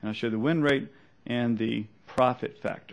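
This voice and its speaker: In a slight Southern US accent, a man talks at a medium pitch. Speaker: trader. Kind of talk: seminar presentation. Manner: fast.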